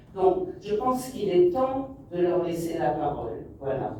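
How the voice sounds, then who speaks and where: A woman talks very slowly, her voice echoing in the room while background noise is clearly heard. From Morocco. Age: 60s. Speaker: documentary filmmaker. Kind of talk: interview answer. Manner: hesitant, many fillers.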